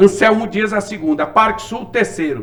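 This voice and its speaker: Amid noticeable background noise, a man with a high pitch speaks with ordinary pitch variation. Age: 60s. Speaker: former city councilman, politician. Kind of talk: interview. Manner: animated.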